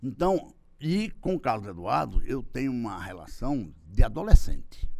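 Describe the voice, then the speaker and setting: This man talks at a fairly slow pace with a medium pitch, very wide pitch swings and vocal fry. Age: 60s. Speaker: political marketing consultant. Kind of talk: interview. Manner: halting.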